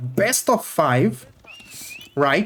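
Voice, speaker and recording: Noticeable background noise sits behind speech delivered at a very slow pace. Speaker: esports caster. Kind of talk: live commentary. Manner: animated.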